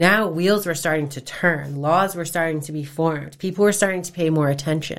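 The woman's pitch is fairly low, with ordinary variation. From Massachusetts (Fairhaven). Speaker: nonprofit founder, domestic violence survivor. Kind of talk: interview testimony.

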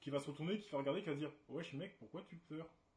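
This man's voice is somewhat breathy. It sits at a fairly high pitch. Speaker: debate stream host. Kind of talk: casual debate livestream. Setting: livestream with webcam. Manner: animated.

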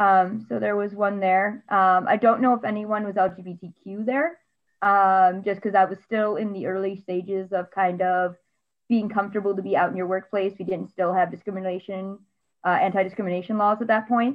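This woman has an unremarkable speaking voice at medium pitch. Her intonation stays fairly even. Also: moderate pace. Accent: American. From US. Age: 20s. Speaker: administrative assistant. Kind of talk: casual chat.

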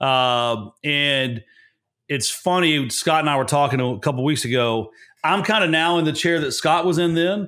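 This man's voice is fairly high in pitch, with a bright, sharp tone and ordinary pitch variation. He talks at a moderate pace with very even loudness, on a very clean recording with a silent background. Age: 40s. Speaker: real estate investor and lender, former Marine. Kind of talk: interview conversation.

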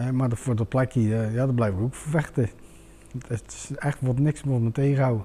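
Medium-pitched man at a moderate pace, with fairly even intonation. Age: 40s. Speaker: home seeker. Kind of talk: testimony in talk show. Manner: halting.

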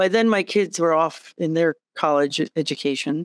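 Recorded very cleanly with a silent background and a dry, close sound with no echo, a woman talks at a moderate pace in an unremarkable speaking voice with a fairly low pitch and ordinary pitch variation. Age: 60s. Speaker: executive director and pilot. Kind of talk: interview conversation.

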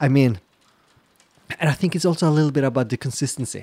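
The sound is dry and close with no echo as a man with a Norwegian accent speaks in a dark, mellow tone with ordinary pitch variation. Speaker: podcast co-host, queer surfer. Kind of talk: casual chat.

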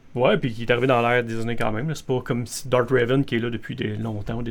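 Talking at a very fast pace, a man with a Quebec accent uses a medium pitch. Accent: Québécois French. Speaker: podcast co-host. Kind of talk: casual chat.

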